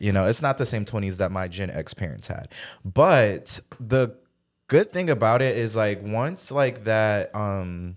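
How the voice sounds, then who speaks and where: A plain, everyday voice from a man, fairly low in pitch with lively intonation, at a fairly slow pace in a very clean recording with a silent background. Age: 20s. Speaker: podcast co-host. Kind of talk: casual chat.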